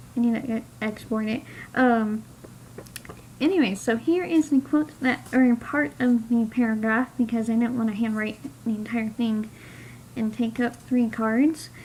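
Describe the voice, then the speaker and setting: A woman's fairly high voice, fairly slow, with ordinary pitch variation and noticeable background noise. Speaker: aspiring novelist vlogger. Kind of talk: casual vlog.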